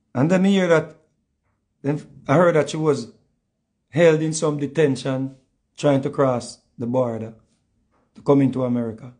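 A man with a Jamaican accent and a fairly high pitch speaks at a moderate pace, using ordinary pitch variation. He leaves long, frequent pauses against a quiet background. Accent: Jamaican patois. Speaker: online show host. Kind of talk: casual chat. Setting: video call. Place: home room. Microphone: phone near.

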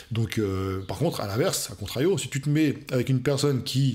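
The voice is somewhat breathy. Its pitch swings very widely. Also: man. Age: 40s. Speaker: fitness coach youtuber. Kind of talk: video reaction commentary. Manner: hesitant with many fillers. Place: home room.

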